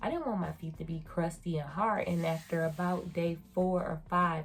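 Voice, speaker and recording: This woman has a fairly low pitch and a somewhat breathy voice. She speaks at a moderate pace in an American accent. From United States. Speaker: beauty and surgery vlogger. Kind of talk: casual review vlog. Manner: animated.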